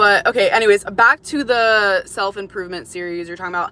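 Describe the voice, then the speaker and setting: A woman with an American accent talks at a fairly quick pace and a medium pitch. Noticeable background noise is present. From Florida, US. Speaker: livestreamer. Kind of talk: casual chat. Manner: casual, filler-heavy.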